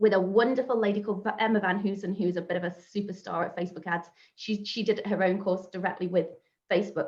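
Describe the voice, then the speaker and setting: Somewhat breathy and monotone, a woman with a medium pitch rattles along at a very fast pace in flat intonation. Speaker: social media marketing trainer. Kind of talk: online workshop presentation.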